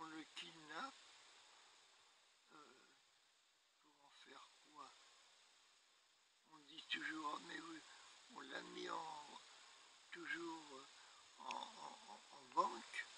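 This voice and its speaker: A man's very slow speech with long, frequent pauses, dry sound with no echo, noticeable background noise. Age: 80s+. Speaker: elderly man telling his story. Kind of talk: interview answer. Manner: hesitant. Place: garden.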